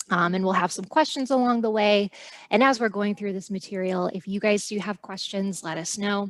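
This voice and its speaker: A woman with a plain, everyday voice talks at a fairly quick pace, her pitch in the middle range and her intonation rising and falling in the usual way. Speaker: college staff presenter. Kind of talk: presentation.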